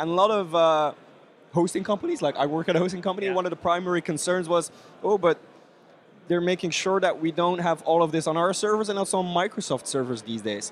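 The speaker talks at a very fast pace in a Belgian accent, with ordinary pitch variation. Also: man, high pitch for a man. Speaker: podcast host. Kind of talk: casual interview chat.

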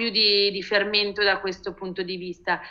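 At a fairly slow pace, a woman talks in a plain, everyday voice of medium pitch. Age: 30s. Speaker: designer and art director. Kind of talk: interview conversation.

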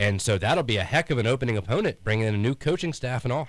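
In a plain, everyday voice, a man at a medium pitch speaks with lively intonation on a very clean recording with a silent background. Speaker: sports radio co-host. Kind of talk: sports talk radio.

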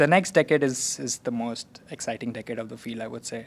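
The man talks at a very fast pace. His pitch sits in the medium range. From India (Calcutta). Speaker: PhD student in quantum computing. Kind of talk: interview. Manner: halting, many restarts.

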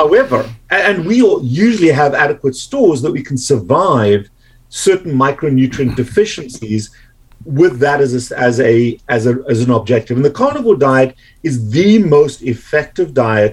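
Somewhat breathy and fairly high in pitch, a man talks with a South African accent and lively intonation. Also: moderate pace. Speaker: medical doctor. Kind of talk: interview.

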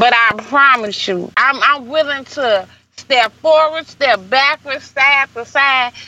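A woman with an American accent speaks very slowly in a raised, projected voice, her pitch high and her intonation varying in an ordinary way. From St. Louis, Missouri. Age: 30s. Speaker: hairstylist and entrepreneur. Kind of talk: interview.

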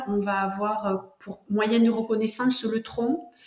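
Over noticeable background noise, a woman with a southwestern French accent speaks at a fairly high pitch. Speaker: herbalist and author. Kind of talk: interview. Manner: slow.

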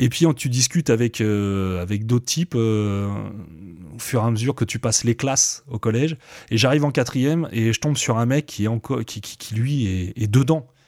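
A man has a plain, everyday voice at a medium pitch, with ordinary pitch variation. He speaks at a moderate pace on a very clean recording with a silent background. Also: dry, close sound with no echo. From France, Seine-et-Marne (Coulommiers). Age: 40s. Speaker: rapper and beatmaker. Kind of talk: casual interview.

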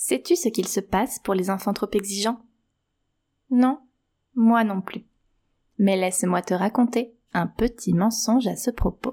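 Speaking very slowly with long, frequent pauses, a woman with a fairly high, somewhat breathy voice has a gentle, warm tone, a dark, mellow tone and ordinary pitch variation on a very clean recording with a silent background.

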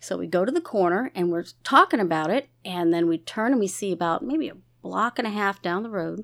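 At a fairly quick pace, a woman talks in a plain, everyday voice at medium pitch, captured in a very clean recording with a silent background. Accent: American. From Maryland. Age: 50s. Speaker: guest. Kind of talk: casual chat.

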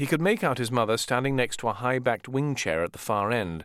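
With lively intonation, the delivery is plain reading aloud.

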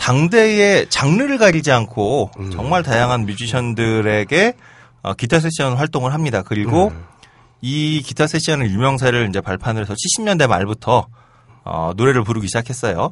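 At a moderate pace, a man with a medium-pitched voice swings very widely in pitch. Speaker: podcast co-host. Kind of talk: casual banter podcast.

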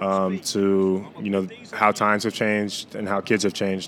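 Over noticeable background noise, a man with an American accent speaks at a fairly low pitch in monotone, flat intonation. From Virginia. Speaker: college basketball player. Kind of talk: interview.

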